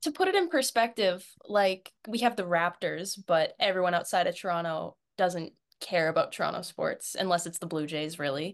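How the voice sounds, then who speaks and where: A plain, everyday voice from a woman with a Canadian accent, medium pitch, ordinary pitch variation, moderate pace, quiet background. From Canada. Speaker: hockey fan and social media personality. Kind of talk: casual chat.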